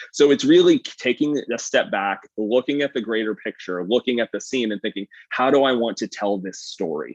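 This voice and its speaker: In a dry, close sound with no echo, a man at a medium pitch talks with lively intonation and hardly any pauses. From eastern Canada. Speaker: chef and food photographer. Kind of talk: live presentation. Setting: livestream. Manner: fast; animated.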